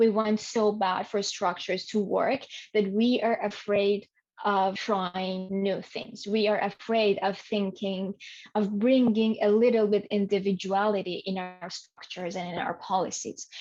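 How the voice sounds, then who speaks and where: A woman's medium-pitched voice with a non-native accent, a fairly slow pace and fairly even intonation. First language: not English. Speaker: learning experience design specialist. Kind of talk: podcast interview.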